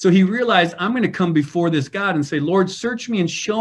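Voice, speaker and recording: The man's intonation is lively. He talks with an American accent. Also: quiet background. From US Midwest. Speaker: pastor and leadership trainer. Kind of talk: interview.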